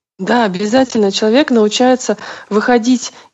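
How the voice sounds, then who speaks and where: A woman talks at a moderate pace in an unremarkable speaking voice. Her pitch is fairly high, with ordinary pitch variation. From Russia, St Petersburg. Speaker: bodywork practitioner and massage therapist. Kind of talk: interview.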